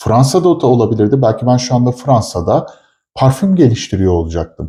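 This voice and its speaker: Against a quiet background, a man speaks at a medium pitch and a moderate pace. His tone is dark and mellow, and somewhat breathy. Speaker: chemist / product developer, co-host. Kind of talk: casual chat.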